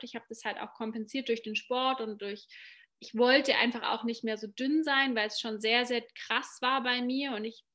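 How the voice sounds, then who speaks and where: A woman's bright, sharp tone comes through at a fairly high pitch and a fairly quick pace, her intonation flat and monotone, on a very clean recording with a silent background. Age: 30s. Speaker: life and business coach. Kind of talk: casual interview.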